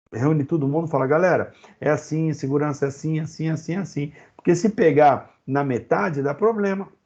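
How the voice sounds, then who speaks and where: A man's fairly high-pitched voice carries a dark, mellow tone, with ordinary pitch variation. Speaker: occupational safety teacher. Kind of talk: online lecture. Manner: fast; animated.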